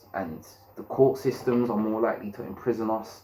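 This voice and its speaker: Someone speaks at a moderate pace with a London accent. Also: man. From London, England. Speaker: YouTube commentator. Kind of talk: opinion monologue. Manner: halting, repeats words.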